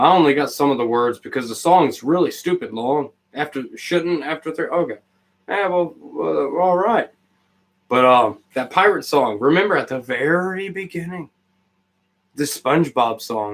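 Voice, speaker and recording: A man with a fairly high pitch, a moderate pace, lively intonation, and an ordinary speaking voice. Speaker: live streamer. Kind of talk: casual chat.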